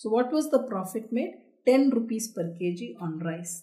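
A woman is speaking. Her tone is dark and mellow against a quiet background. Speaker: accounting teacher. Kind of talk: lecture.

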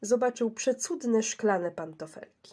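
A woman's fairly high, dark and mellow voice, lively in intonation and fairly slow in pace. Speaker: audiobook narrator. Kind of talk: bedtime story reading aloud, gentle fairy-tale narration.

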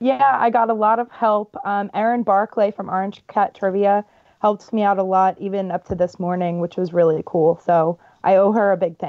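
A woman with an American accent talks in a normal speaking voice at medium pitch and a moderate pace, with ordinary pitch variation. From Baltimore, US. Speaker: guest trivia game host. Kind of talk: reading trivia questions.

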